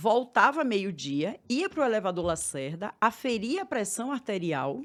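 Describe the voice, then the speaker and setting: A woman with a Bahian accent speaks with very wide pitch swings in a very clean recording with a silent background. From Bahia, Brazil. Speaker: therapist for women. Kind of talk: podcast interview.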